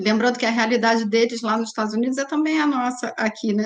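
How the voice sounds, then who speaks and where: With an ordinary speaking voice, a woman talks at a fairly high pitch and with fairly even intonation. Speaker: web series host. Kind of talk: panel discussion.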